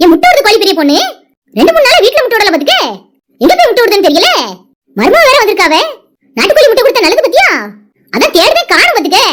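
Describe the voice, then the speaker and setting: This is a cartoonish character voice at an extremely high pitch. The delivery moves at a fairly quick pace. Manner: loud, quarrelsome.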